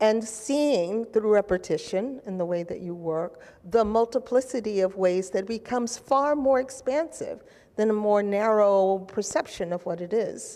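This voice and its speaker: A woman with an American accent, fairly high-pitched, with a dark, mellow tone, normal pitch movement and a moderate pace. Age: 60s. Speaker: panel moderator. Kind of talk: panel discussion.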